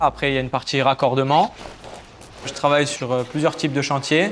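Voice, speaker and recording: A man with a fairly high pitch keeps his intonation fairly even amid noticeable background noise. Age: 20s. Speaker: heating and air-conditioning technician. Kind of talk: interview testimony. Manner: hesitant with fillers.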